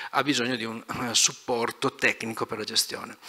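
The background stays quiet. A man moves along at a fairly quick pace. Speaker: energy company executive; speaker. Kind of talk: conference talk. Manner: fast. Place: hall. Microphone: handheld.

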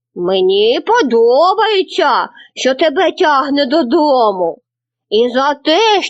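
A woman puts on a character voice with a high pitch and very wide pitch swings. She speaks at a very slow pace. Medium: read story. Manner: gentle, benevolent.

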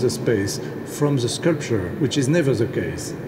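Noticeable background noise runs beneath a man speaking at a fairly slow pace with ordinary pitch variation. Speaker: landscape architect. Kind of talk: speech at ceremony. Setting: stage with audience. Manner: hesitant, halting, with pauses. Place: hall. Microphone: podium.

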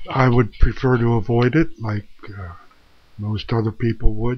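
A man talks at a very slow pace, sounding somewhat breathy. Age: 70s. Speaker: vlogger sharing life experience. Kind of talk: personal monologue to camera. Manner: slow, hesitant. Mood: earnest, reflective. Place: home room. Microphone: webcam.

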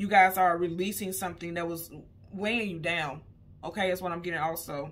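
A woman's fairly low voice, an unremarkable speaking voice, with fairly even intonation at a fairly quick pace. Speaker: tarot reader. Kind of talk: tarot reading commentary. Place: home room. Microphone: phone near.

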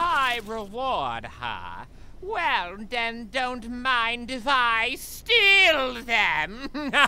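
Pitched fairly high, a put-on character voice moves at a very slow pace. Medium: machinima. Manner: chatty, goofy, pleading.

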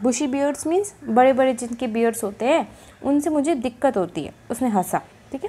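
A woman with a high pitch, a dark, mellow tone, lively intonation and a fairly slow pace. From India. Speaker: teacher. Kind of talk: lecture. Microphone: phone near.

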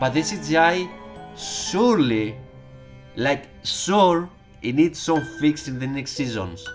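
A man at a very slow pace with lively intonation, music in the background. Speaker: YouTube TV show reviewer. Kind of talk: casual spoken review to camera.

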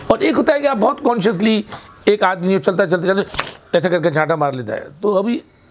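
Fairly slow speech over light background noise. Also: man. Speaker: actor, theatre and film actor, interviewed guest. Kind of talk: interview answer. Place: home room. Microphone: lapel.

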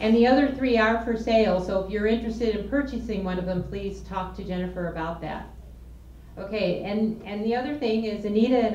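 At a moderate pace, a woman speaks with a medium pitch for a woman and ordinary pitch variation, with light background noise and audible room echo. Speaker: volunteer board member. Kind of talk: speaker introduction. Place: meeting room. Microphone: handheld.

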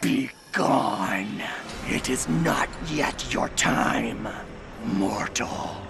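A man puts on a character voice and talks at a very slow pace. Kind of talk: video game character acting. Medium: voice reel. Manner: solemn, commanding.

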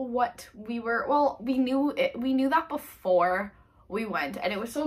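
A woman's high-pitched voice with lively intonation. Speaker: travel vlogger. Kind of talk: casual vlog chat. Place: home room. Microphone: camera far.

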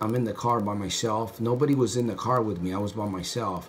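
Light background noise sits behind a man at a moderate pace. His pitch is fairly low, with ordinary pitch variation. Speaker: motivational vlogger. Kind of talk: casual vlog storytelling. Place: bathroom. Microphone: phone near.

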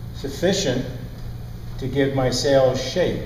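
Over light background noise and audible room echo, a man speaks at a very slow pace. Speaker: sailing instructor. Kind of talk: lecture. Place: classroom. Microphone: lapel.

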